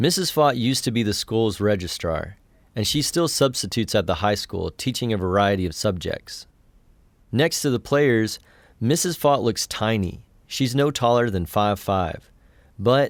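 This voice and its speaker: A man with an unremarkable speaking voice and an American accent, medium in pitch with lively intonation, at a moderate pace on a very clean recording with a silent background. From West Texas. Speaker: podcast host. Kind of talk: scripted narration.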